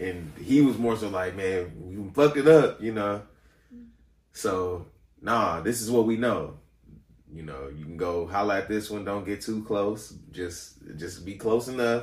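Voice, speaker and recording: With an unremarkable speaking voice, a man talks at a fairly slow pace and a fairly low pitch, his pitch varying in an ordinary way while his loudness swings widely. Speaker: singer and actor. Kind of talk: casual chat.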